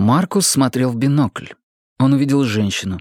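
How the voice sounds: Quiet surroundings, a natural reading voice, and ordinary pitch variation.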